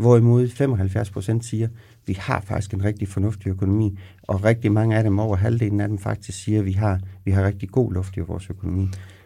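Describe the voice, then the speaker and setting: Somewhat breathy and fairly low, a man's voice has a dark, mellow tone and monotone, flat intonation at a fairly quick pace. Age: 50s. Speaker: pension specialist. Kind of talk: podcast interview. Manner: halting.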